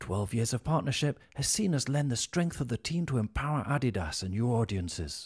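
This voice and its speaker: A man's somewhat breathy voice with very wide pitch swings, a fairly quick pace and hardly any pauses, over a quiet background. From British. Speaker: voice actor. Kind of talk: corporate narration. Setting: studio. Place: studio.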